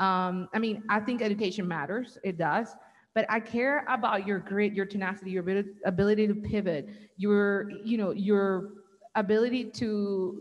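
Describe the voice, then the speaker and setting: With a Colombian accent, a woman speaks at a moderate pace and medium pitch with fairly even intonation. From Colombia, Barranquilla. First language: Spanish. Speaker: business owner. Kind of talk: panel discussion.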